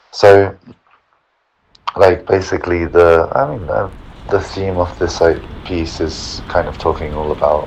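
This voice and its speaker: A man's very deep, low voice at a fairly slow pace, with ordinary pitch variation and long, frequent pauses. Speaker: choreographer. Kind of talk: casual voice note. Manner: rambling, hesitant, thinking aloud.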